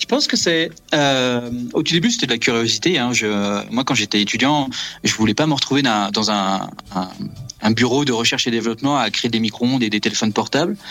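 Bright and sharp in tone, the man talks at a fairly quick pace but leaves long, frequent pauses. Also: medium pitch for a man, ordinary pitch variation, very even loudness. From Brittany, France. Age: 30s. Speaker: astrophysics research assistant. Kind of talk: interview.

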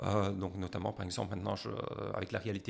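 A man talks at a very fast pace with a fairly low pitch and vocal fry. His intonation stays fairly even. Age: 50s. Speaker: professor. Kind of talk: interview.

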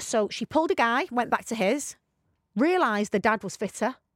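Her intonation is lively as a woman speaks at a moderate pace in a British accent. The recording is very clean, with a silent background and a dry, close sound without echo. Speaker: podcast co-host. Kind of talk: casual chat. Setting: studio.

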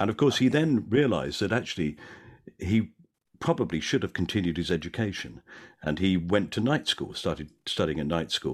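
The voice has vocal fry and very wide pitch swings, moving at a fairly quick pace against a quiet background. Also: man, very deep, low pitch for a man. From South London. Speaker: actor and comedian. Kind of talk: casual chat.

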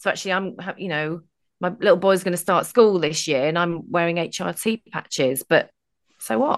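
In an unremarkable speaking voice, a woman talks at a fairly low pitch and a moderate pace with ordinary pitch variation. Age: 40s. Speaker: confidence coach, blogger and radio presenter. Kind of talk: casual chat.

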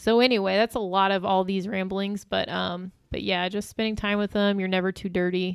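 The voice comes with a Midwestern US accent and monotone, flat intonation. The recording is very clean, with a silent background. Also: woman, medium pitch for a woman, fairly quick pace. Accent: US Midwest. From Illinois. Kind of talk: testimony.

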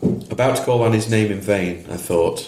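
Plain reading aloud, its pitch moving in an ordinary way

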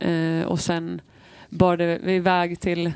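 A woman's fairly low-pitched voice in a monotone, flat delivery, on a very clean recording with a silent background. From Falun, Sweden. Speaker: football player. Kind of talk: casual chat.

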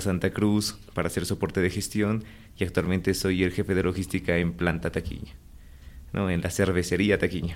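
Very deep and low, a man's voice moves at a moderate pace. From Bolivia, La Paz. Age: 20s. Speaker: logistics manager. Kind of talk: interview.

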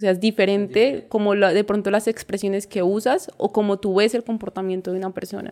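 A woman speaks at a medium pitch with a dark, mellow tone and fairly even intonation, going very fast with hardly any pauses. The recording is very clean, with a silent background. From Colombia, countryside near Ibagué, Tolima. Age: 20s. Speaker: parkour coach. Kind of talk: interview.

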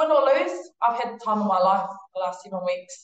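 With a New Zealand accent, a woman speaks at a moderate pace. Her voice is fairly high, with ordinary pitch variation. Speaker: international rugby player. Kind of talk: casual interview chat.

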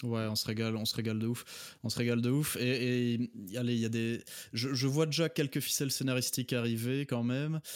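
A man speaks at a fairly quick pace and medium pitch with fairly even intonation, on a very clean recording with a silent background. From Belgium. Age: 30s. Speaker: doctor and video game fan. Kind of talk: casual chat. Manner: halting, many repetitions and fillers.

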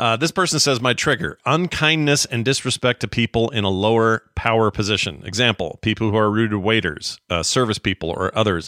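A bright, sharp tone races along at a very fast pace, the sound dry and close with no echo. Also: man, very clean recording, silent background. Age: 50s. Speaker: podcast host. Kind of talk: casual chat.

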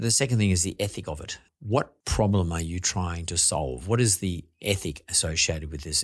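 A man with an Australian accent, his pitch very deep and low, somewhat breathy, with ordinary pitch variation over a quiet background. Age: 60s. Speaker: podcast host and investor. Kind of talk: casual interview.

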